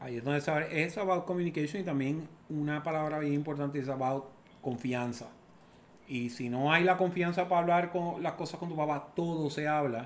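His pitch is fairly high and varies in an ordinary way. The man has an unremarkable speaking voice and keeps a moderate tempo. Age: 50s. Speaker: father of the host. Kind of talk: casual chat.

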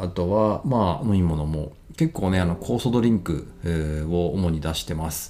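A very deep, low male voice with a dark, mellow tone and lively intonation. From Japan, Ibaraki. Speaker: podcaster and restaurant owner. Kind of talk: solo podcast monologue. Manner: many fillers, casual and halting.

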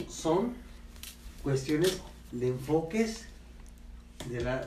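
A man speaks at a very slow pace. Room echo can be heard. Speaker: family member guest. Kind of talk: storytelling.

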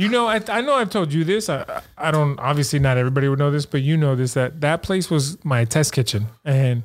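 With an American accent, a man talks at a fairly quick pace in a normal speaking voice, fairly high in pitch, with lively intonation and very even loudness. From San Francisco, California. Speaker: coffee shop owner. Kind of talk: casual chat.

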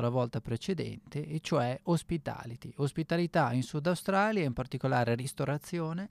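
Recorded dry and close with no echo, a man speaks fairly slowly in a fairly high voice with ordinary pitch variation. The recording is very clean, with a silent background. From northern Italy, Bergamo. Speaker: radio host and sommelier. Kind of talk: radio monologue. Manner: halting, many fillers.

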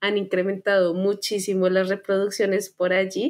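A woman's medium-pitched, monotone, flat voice at a moderate pace, on a very clean recording with a silent background. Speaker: podcast co-host. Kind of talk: casual chat.

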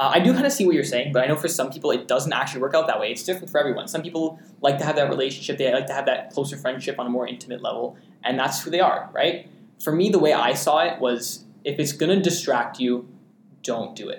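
Very fast and somewhat breathy, a man's speech rushes along. He has a fairly high pitch for a man and ordinary pitch variation. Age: young. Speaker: student podcast host. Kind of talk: casual chat.

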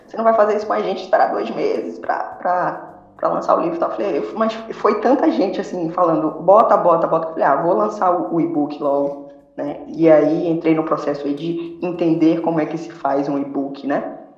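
At a moderate pace, a woman speaks at a fairly low pitch with ordinary pitch variation. Room echo is audible, and background noise is noticeable. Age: 30s. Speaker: novelist. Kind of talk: interview.

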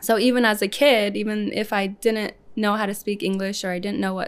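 A woman speaks with a Midwestern US accent in a monotone, flat intonation. The recording is very clean, with a silent background. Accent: US Midwest. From Lincoln, Nebraska (adopted from Ethiopia as a small child). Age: 30s. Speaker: salon owner. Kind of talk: casual interview.

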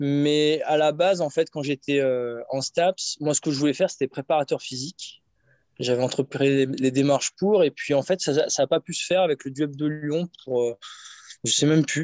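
With fairly even intonation, a man talks at a moderate pace and a fairly high pitch. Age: 30s. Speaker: strength and conditioning coach. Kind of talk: casual interview. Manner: hesitant, many fillers.

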